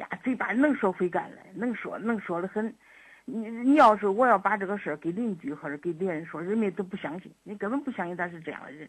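A woman with a medium-pitched, somewhat breathy voice speaks quickly-ish, at a fairly quick pace, with lively intonation. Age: old. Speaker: elderly mother calling for advice. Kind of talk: call-in advice conversation. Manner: halting, repetitive.

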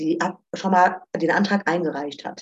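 Recorded dry and close with no echo, a woman's somewhat breathy voice sits at a medium pitch with fairly even intonation. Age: 30s. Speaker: student finance advisor. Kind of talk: informational interview.

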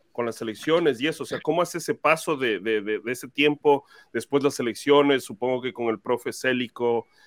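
A man's normal speaking voice at a fairly quick pace, with ordinary pitch variation and a dry, close sound with no echo. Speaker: fan podcast host. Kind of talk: casual interview. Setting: live stream video call.

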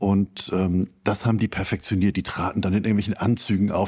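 His tone is dark and mellow. The man's pitch sits very deep and low. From northern Germany (Schleswig-Holstein). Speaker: literature professor. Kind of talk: interview. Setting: remote call. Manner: frequent fillers (äh, ähm).

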